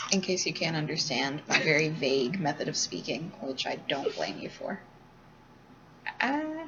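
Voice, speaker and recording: Mumbling at a moderate pace, a woman leaves long, frequent pauses over noticeable background noise. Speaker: student learner. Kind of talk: casual chat. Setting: dorm lobby.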